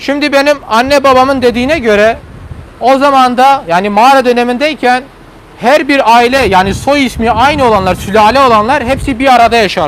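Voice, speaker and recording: The talking moves at a moderate pace over noticeable background noise. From Turkey, Hasankeyf (southeastern Turkey). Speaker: tour guide. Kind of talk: guided tour commentary. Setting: outdoors on a boat, live stream. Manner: loud.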